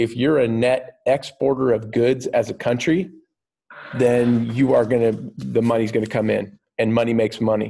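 A man with a dark, mellow tone. His intonation stays fairly even. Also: moderate pace. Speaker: teacher. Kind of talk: lecture. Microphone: webcam.

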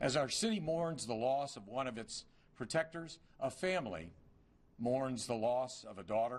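Loudness swings widely in this voice. The man keeps a moderate pace. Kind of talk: formal eulogy speech. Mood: solemn, grieving. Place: hall. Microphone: podium.

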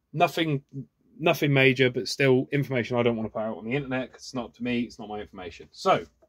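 Against a quiet background, a man with a southern English accent talks at a very fast pace with big swings in loudness. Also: ordinary pitch variation. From southern England, Oxfordshire; southern England. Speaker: YouTuber. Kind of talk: unboxing video monologue. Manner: animated. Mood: curious, enthusiastic. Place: workshop. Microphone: phone near.

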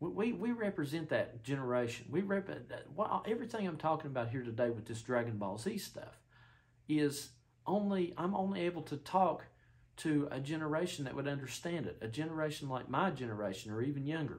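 The voice is somewhat breathy, with very wide pitch swings. It moves at a fairly quick pace. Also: man. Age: 30s. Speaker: YouTuber discussing spiritual interpretations; vlogger. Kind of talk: solo monologue. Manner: halting, many fillers and restarts. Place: home room. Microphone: camera far.

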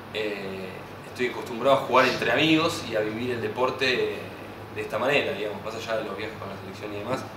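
Over noticeable background noise, a man speaks at a very fast pace with big swings in loudness. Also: ordinary pitch variation. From Argentina. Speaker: handball player. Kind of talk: interview. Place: home room. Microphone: camera far.

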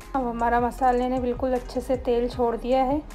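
Faint music plays behind a woman with a high pitch. She speaks at a moderate pace with monotone, flat intonation. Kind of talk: cooking tutorial narration. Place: kitchen.

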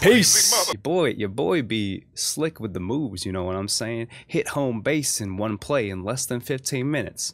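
With hardly any pauses, a man talks in lively intonation, the sound dry with no echo and light background noise behind him. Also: moderate pace. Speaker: gaming video host. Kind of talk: casual gameplay commentary. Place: home room. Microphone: studio mic.

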